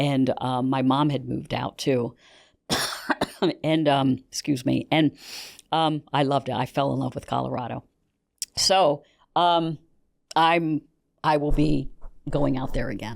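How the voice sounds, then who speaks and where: Speaking with an American accent, a woman uses a very deep, low voice with vocal fry and fairly even intonation, moving fairly slowly with long, frequent pauses. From US, Pennsylvania. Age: 60s. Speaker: news executive, former news anchor. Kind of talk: interview. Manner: halting.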